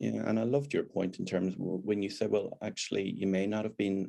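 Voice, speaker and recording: A man speaks at a fairly low pitch. His tone is dark and mellow. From Northern Ireland. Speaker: deputy head teacher. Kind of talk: interview chat.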